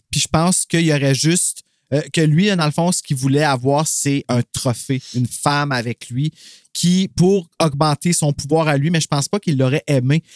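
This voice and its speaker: In a Quebec accent, a man speaks at a moderate pace and a fairly high pitch with ordinary pitch variation. His loudness is very even, and the sound is dry and close with no echo. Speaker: podcast co-host. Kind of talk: casual chat; reading aloud. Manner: animated.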